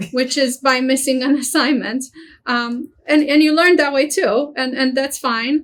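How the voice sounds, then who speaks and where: A fairly slow, fairly even delivery with a Romanian accent. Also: woman, high pitch for a woman. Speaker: university international office director. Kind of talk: webinar presentation.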